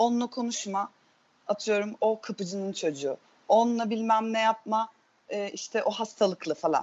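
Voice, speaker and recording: This is a normal speaking voice, delivered at a moderate pace. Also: woman. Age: 30s. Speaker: theatre teacher. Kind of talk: casual chat.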